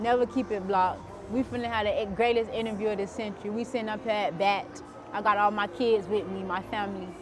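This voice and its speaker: A woman talks at a very fast pace in a room with audible echo while music plays in the background. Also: medium pitch for a woman. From South Florida (Broward County). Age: 20s. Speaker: entrepreneur, interviewee. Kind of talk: casual interview. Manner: animated.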